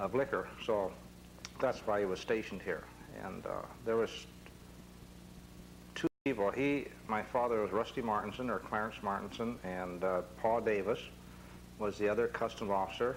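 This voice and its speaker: Speaking at a moderate pace with long, frequent pauses, a man uses fairly low pitch and fairly even intonation. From Point Roberts, Washington, US. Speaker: local old-timer. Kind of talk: oral history interview. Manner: halting.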